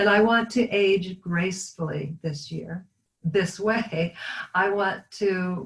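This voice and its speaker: A woman speaks very slowly in a somewhat breathy voice. Her pitch is medium, with ordinary variation. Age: 60s. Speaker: product user giving testimonial. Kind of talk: testimony.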